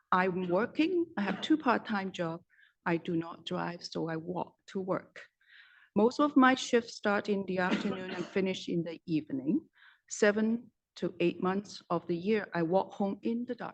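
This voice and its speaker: In an ordinary speaking voice, a woman talks at a fairly slow pace. Her pitch is medium, and her intonation is lively. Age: 60s. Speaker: public hearing speaker. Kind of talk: public testimony. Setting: council chamber public hearing.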